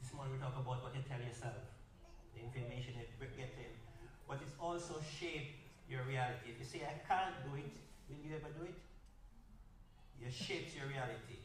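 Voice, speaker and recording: A man with a Jamaican accent and medium pitch, at a fairly quick pace with long, frequent pauses and fairly even intonation, amid audible room echo and noticeable background noise. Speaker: workshop speaker. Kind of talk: workshop talk.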